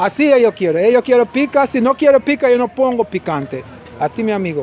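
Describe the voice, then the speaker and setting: Over noticeable background noise, a man with an extremely high pitch talks at a fairly quick pace in an animated tone with lively intonation. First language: English (speaking Spanish). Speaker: restaurant owner. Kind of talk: casual chat. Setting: restaurant. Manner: halting.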